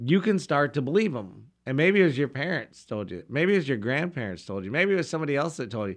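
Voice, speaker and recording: Speaking at a very fast pace, the voice carries vocal fry and very wide pitch swings over a quiet background. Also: man, fairly high pitch for a man. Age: 50s. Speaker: pastor. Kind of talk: religious radio discussion.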